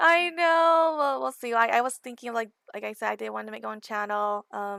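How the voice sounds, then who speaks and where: In a Californian accent, a woman with a fairly high voice and a bright, sharp tone speaks at a moderate pace with lively intonation, dry and close with no echo. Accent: Californian American English. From Southern California. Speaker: gaming community manager. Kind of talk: podcast interview.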